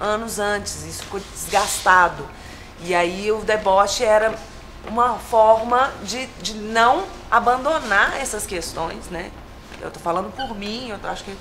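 A fairly slow pace and ordinary pitch variation, over light background noise. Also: woman. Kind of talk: interview answer. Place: hall.

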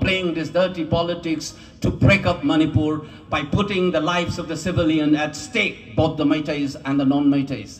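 Moderate pacing from a man's voice. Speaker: speaker. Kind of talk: rally speech. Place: street. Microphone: podium.

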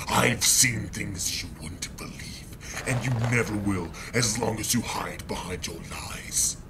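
A man whispering at a fairly slow pace over loud background noise. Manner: angry, accusatory, intense.

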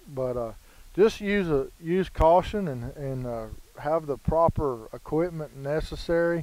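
A man speaks very slowly in a dark, mellow tone. The sound is dry with no echo. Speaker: dog trainer. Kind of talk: casual vlog chat. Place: waterside.

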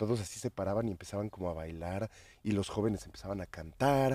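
The recording is very clean, with a silent background. A man's voice carries a dark, mellow tone and ordinary pitch variation. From Mexico City. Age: 40s. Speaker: psychedelic activist and DJ. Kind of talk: casual chat. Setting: outdoors in a garden.

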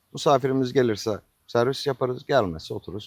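At a fairly quick pace, a man with an unremarkable speaking voice and medium pitch is heard in a dry, close sound with no echo on a very clean recording with a silent background. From Turkey, Denizli province (Acıpayam). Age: 50s. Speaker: restaurant owner. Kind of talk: interview. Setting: in his restaurant.

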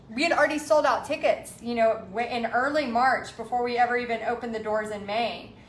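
Amid light background noise and audible room echo, a woman speaks at a moderate pace with ordinary pitch variation. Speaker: art instructor. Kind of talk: casual live-stream chat. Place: home room. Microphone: phone near.

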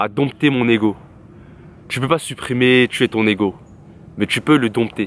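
His bright, sharp tone sits at medium pitch with ordinary pitch variation, in a dry sound with no echo. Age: 20s. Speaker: YouTuber. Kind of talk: personal vlog monologue. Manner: casual slangy. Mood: reflective, candid. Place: garden. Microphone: phone near.

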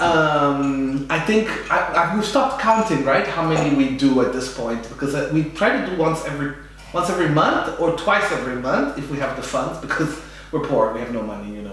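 A man speaks at a fairly quick pace with ordinary pitch variation. Strong room echo and light background noise surround his voice. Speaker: podcast host. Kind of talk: interview introduction. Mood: warm, enthusiastic. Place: home room.

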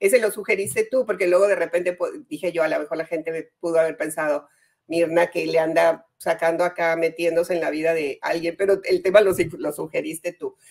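At a fairly quick pace, a plain, everyday voice speaks with fairly even intonation. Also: woman, fairly low pitch for a woman. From northern Mexico, Comarca Lagunera (Torreón). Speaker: journalist and life coach. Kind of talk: casual interview.

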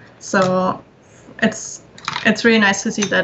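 The woman talks at a moderate pace and a medium pitch. Her intonation stays monotone and flat. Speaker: concept artist. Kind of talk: casual chat. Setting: video call.

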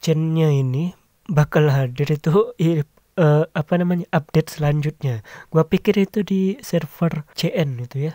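Fairly high in pitch, a man speaks with a dark, mellow tone and ordinary pitch variation. His pace is fairly slow.

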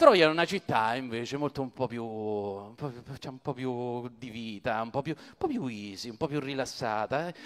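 Talking at a fairly slow pace with hardly any pauses, a man sounds animated, his loudness swinging widely while his pitch varies in an ordinary way. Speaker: stand-up comedian. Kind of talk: stand-up comedy retelling the Iliad with jokes. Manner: animated, jokey, mimicking characters' voices with comic asides; conversational, casual, colloquial and digressive. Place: stage. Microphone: handheld.

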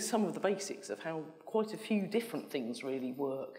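A woman's voice at a moderate pace with very wide pitch swings against a quiet background. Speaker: conference presenter. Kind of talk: lecture. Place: hall.

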